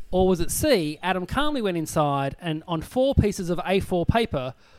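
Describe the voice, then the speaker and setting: Lively intonation in an Australian accent, on a very clean recording with a silent background. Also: man. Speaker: comedian and podcast host. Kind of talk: casual comedy panel chat. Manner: animated.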